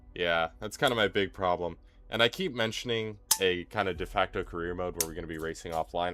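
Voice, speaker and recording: Quiet and very deep, low-pitched, a man speaks at a fairly quick pace with ordinary pitch variation. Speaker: sim racing streamer. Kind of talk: live stream commentary. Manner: quiet during the race; casual, hesitant with fillers.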